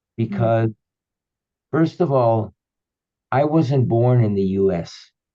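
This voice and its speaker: A man's dark, mellow tone at a very slow pace, medium in pitch with ordinary pitch variation. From Cuba, raised partly in the US. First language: Spanish or Yiddish (English third language). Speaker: author and spiritual teacher. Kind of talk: interview, personal storytelling. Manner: fluent, flowing.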